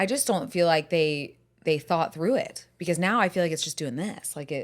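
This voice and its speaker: Lively in intonation, a woman with an American accent talks at a moderate pace and a fairly low pitch on a very clean recording with a silent background. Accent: southern US, resurfacing. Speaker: podcast host. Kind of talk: casual chat.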